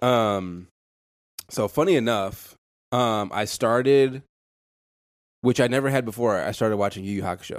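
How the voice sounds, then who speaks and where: A man talks at a moderate pace with medium pitch and ordinary pitch variation. It is an ordinary speaking voice. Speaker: podcast co-host. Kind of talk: casual chat.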